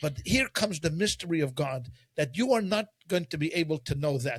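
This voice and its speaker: Speaking with a Quebec accent, a man keeps a moderate pace. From Quebec, Canada. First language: French. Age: 50s. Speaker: rabbi. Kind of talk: casual discussion. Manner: halting, many repetitions.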